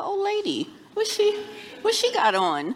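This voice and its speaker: A woman's voice over noticeable background noise. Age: 50s. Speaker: content creator. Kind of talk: live panel discussion. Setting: live event with audience.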